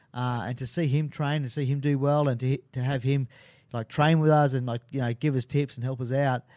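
Speaking at a very fast pace with a strong Australian accent, a man shows ordinary pitch variation in a very clean recording with a silent background. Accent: broad Australian. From Sydney, Australia (Maroubra). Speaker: MMA fighter and big wave surfer. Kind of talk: casual interview. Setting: radio studio.

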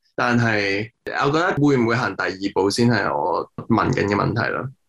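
Pitch shifts in an ordinary way. It is a normal speaking voice. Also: man. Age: 20s. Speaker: film director. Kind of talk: interview.

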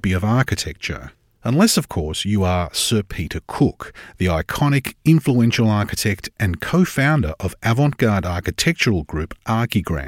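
In a very clean recording with a silent background and a dry, close sound with no echo, a man with an Australian accent speaks at a fairly low pitch with very wide pitch swings and hardly any pauses. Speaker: podcast producer. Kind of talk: scripted narration.

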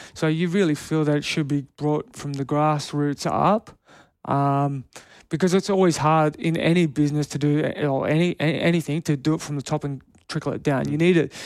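The speaker has an Australian accent. Intonation stays fairly even. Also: man, fairly high pitch for a man, moderate pace, very clean recording, silent background. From Canberra, Australia. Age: 30s. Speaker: retired rugby player. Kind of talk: interview.

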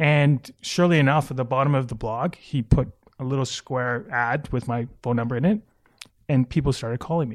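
A man with a Canadian accent speaks at a fairly quick pace and medium pitch with ordinary pitch variation, in a dry, close sound with no echo on a very clean recording with a silent background. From Vancouver, Canada. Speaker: advertising executive and former soccer player. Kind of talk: interview. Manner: hesitant, many fillers.

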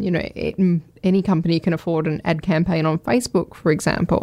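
In a very clean recording with a silent background, a woman with an unremarkable speaking voice talks at a moderate pace, her fairly low pitch held fairly even. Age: 40s. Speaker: brand strategist. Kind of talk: interview.

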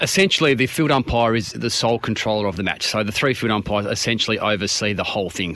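Speaking at a very fast pace, a man with an Australian accent uses a fairly low pitch and ordinary pitch variation. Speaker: retired AFL umpire. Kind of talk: relaxed radio interview.

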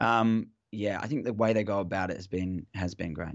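With an Australian accent, a man talks at a moderate pace in a fairly low voice. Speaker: football fan guest. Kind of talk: casual chat. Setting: phone call. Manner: halting.

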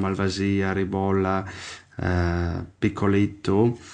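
Very slowly and with fairly even intonation, a man speaks at a fairly low pitch with an Italian accent. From Friuli, northeastern Italy (Slovenian border). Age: 30s. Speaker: winemaker. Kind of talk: casual interview. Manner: halting, with many fillers.

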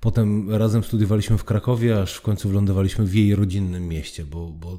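In a very clean recording with a silent background, a man with a fairly low pitch and a dark, mellow tone speaks at a fairly quick pace with ordinary pitch variation. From southern Poland (Oświęcim). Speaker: foundation president and public speaking trainer. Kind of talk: interview.

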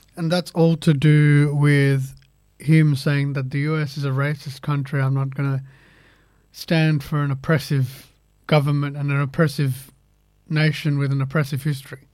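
Speech with an Australian accent comes at a moderate pace in a monotone, flat intonation. The recording is very clean, with a silent background. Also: man, fairly high pitch for a man. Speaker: sports podcast host. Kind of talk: casual sports panel chat.

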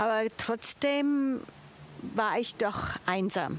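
A woman speaks in a fairly high pitch. Her pitch varies in an ordinary way. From Switzerland. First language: Italian (speaking German). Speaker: church volunteer, international café organiser. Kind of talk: testimony. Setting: outdoors in a garden.

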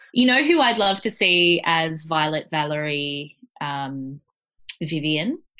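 Using an Australian accent, a woman with a very deep, low voice and a bright, sharp tone speaks at a very slow pace with lively intonation. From Australia, Gold Coast. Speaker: podcast co-host. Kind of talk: casual chat. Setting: remote call.

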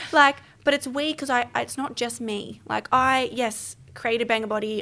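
On a very clean recording with a silent background, a woman speaks at a fairly high pitch. Her tone is bright and sharp. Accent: Australian. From Melbourne. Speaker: podcast guest, business founder. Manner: fast talker.

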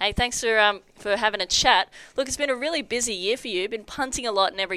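A woman with an Australian accent and a bright, sharp tone, very fast, with ordinary pitch variation. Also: very clean recording, silent background. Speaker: sports podcast co-host. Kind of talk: casual chat.

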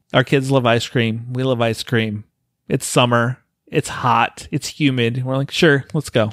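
In an unremarkable speaking voice, a man speaks at a fairly slow pace on a very clean recording with a silent background and a dry, close sound with no echo. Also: medium pitch for a man, fairly even intonation. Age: 40s. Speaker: podcast host. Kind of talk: casual chat.

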